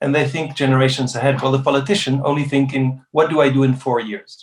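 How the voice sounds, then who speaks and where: A man's somewhat breathy, fairly high voice at a fairly quick pace. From Netherlands, with Spanish father. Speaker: diplomat and refugee-agency advisor. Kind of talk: interview. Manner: halting, many repeated words and fillers.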